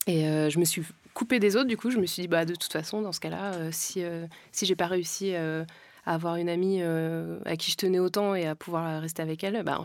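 In a very clean recording with a silent background, a woman with an ordinary speaking voice and a fairly low pitch talks at a moderate pace with ordinary pitch variation. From France. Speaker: podcast co-host. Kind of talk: personal testimony.

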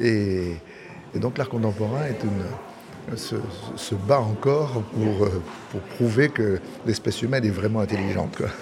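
Amid noticeable background noise, a man talks at a fairly slow pace with ordinary pitch variation and long, frequent pauses. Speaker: auctioneer. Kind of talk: interview.

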